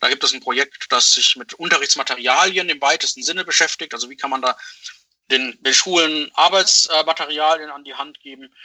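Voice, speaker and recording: Using a normal speaking voice, a man with fairly high pitch talks at a fairly quick pace, with ordinary pitch variation and big swings in loudness. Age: 30s. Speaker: paramedic and chair of a research society. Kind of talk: interview.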